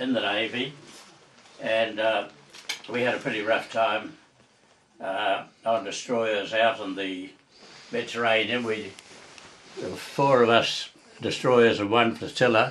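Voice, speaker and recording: A man talks at a fairly slow pace in a monotone, flat intonation, with long, frequent pauses and light background noise. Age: 80s+. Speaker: war veteran; grower and author. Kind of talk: interview answer. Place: home room. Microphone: camera far.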